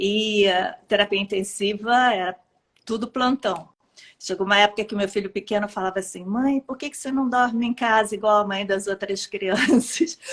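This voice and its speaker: Here a woman speaks with a Rio de Janeiro accent. Her pace is moderate. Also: medium pitch for a woman, ordinary pitch variation. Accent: carioca. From Rio de Janeiro, Brazil. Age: 50s. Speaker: pediatrician. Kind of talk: interview testimony.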